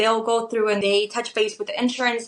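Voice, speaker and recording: A woman with a Spanish accent, fairly high pitch and a very fast pace. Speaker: medical tattoo artist. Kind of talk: podcast interview.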